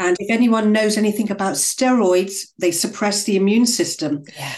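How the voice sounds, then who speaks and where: An ordinary speaking voice from a medium-pitched woman, moderate pace, ordinary pitch variation. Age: 50s. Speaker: functional nutritionist. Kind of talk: interview.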